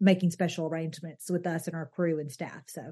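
Against a quiet background, a woman speaks very fast in a Southern US accent. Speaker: wedding venue owner and consultant. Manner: chatty, candid.

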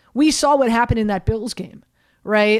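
In a plain, everyday voice, a woman with an American accent speaks fairly high and fairly quick, with fairly even intonation. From US South, Miami. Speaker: sports radio host. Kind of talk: sports talk radio.

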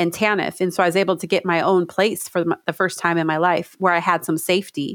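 A woman in a normal speaking voice, fairly low in pitch with ordinary pitch variation, in a dry, close sound with no echo and a very clean recording with a silent background. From California. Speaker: state legislator. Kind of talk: interview.

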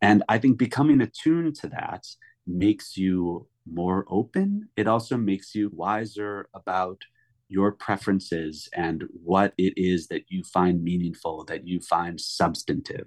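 A fairly slow speaker with an American accent and an unremarkable speaking voice, recorded with a dry, close sound and no echo. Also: man, fairly low pitch for a man, ordinary pitch variation, quiet background. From US Midwest (Chicago). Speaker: author, former museum guard. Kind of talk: interview.

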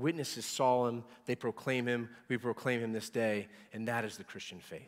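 This is a plain, everyday voice. The recording is very clean, with a silent background. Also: man. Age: 40s. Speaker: pastor. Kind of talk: sermon. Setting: church.

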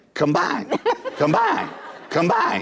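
A man's put-on character voice in a Texas accent, high-pitched, at a moderate pace. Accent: Texas twang. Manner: repetitive, insistent.

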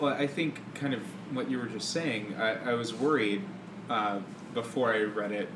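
Amid noticeable background noise and audible room echo, a man with an American accent speaks at a moderate pace with fairly even intonation. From US South, Mississippi. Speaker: musical theatre performer. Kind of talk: casual chat.

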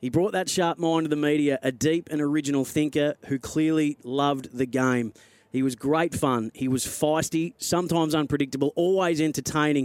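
Hardly pausing, a man with an Australian accent speaks at a moderate pace, with very even loudness and fairly even intonation. The recording is very clean with a silent background and has a dry, close sound with no echo. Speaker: football radio broadcaster. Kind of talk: on-air eulogy tribute before a match broadcast. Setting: radio studio. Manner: solemn, measured and heartfelt; slightly halting with emotion at the start.

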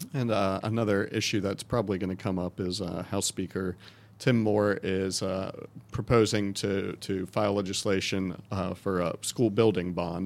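Here is a man with a plain, everyday voice and a fairly low pitch. He keeps a moderate pace and fairly even intonation in a very clean recording with a silent background. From North Carolina (Wake County). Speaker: education reporter and podcast host. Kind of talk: interview.

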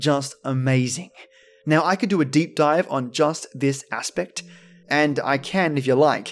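Fairly slow speech in an Australian accent with ordinary pitch variation. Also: man, fairly high pitch for a man. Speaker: podcast host. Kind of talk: scripted narration.

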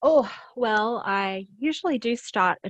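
Against a quiet background, a woman with an Australian accent shows ordinary pitch variation in a dry, close sound with no echo. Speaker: author. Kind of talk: casual interview chat.

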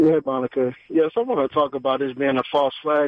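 Here is a man with an American accent. He talks at a very fast pace. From US South, Atlanta. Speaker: caller. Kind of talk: call-in talk radio. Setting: phone call.

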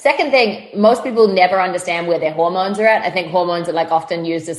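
Over noticeable background noise, a woman with a New Zealand accent talks at a very fast pace. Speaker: fitness trainer. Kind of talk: casual chat. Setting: video call. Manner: animated.

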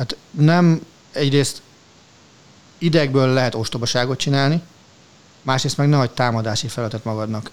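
A man with a medium-pitched voice talks at a moderate pace, using ordinary pitch variation and leaving long, frequent pauses. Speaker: sports podcast co-host. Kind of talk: casual chat. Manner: animated.

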